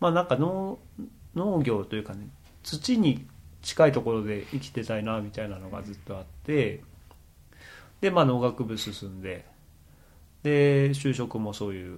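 With very wide pitch swings and big swings in loudness, a man speaks at a moderate pace broken by long, frequent pauses. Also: medium pitch for a man. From Japan, Akita. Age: middle-aged. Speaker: organic farmer and podcaster. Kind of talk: casual chat.

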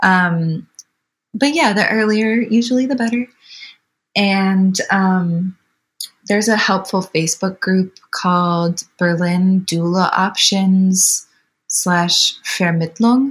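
Slowly and in a somewhat breathy voice, the speaker uses an American accent with ordinary pitch variation, very even loudness and a very slow pace. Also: woman, medium pitch for a woman. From Wisconsin, US. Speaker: birth doula. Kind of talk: interview.

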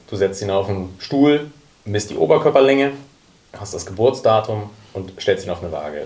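With noticeable background noise behind him, a man speaks using very wide pitch swings. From Hamburg. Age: 30s. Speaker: youth academy sporting director. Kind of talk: panel discussion.

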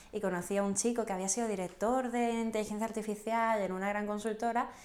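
This woman has an unremarkable speaking voice. Her pitch varies in an ordinary way. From southern Spain (Canary Islands and Andalusia). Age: 20s. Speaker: entrepreneur, association president. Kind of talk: casual interview.

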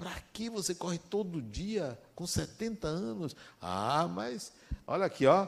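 A man talks at a very slow pace with a fairly high pitch. His pitch swings very widely. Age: 60s. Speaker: spiritist lecturer. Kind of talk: spiritual talk.

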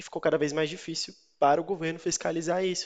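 A man talks against a quiet background. He has an unremarkable speaking voice. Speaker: news podcast host. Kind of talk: interview.

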